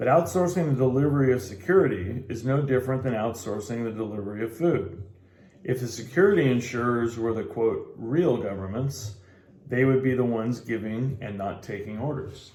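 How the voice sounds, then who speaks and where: Medium-pitched man with a dark, mellow, somewhat breathy tone, ordinary pitch variation and a fairly quick pace, with audible room echo. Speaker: amateur book reader. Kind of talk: reading aloud. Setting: in a bar. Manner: halting cold reading with stumbles.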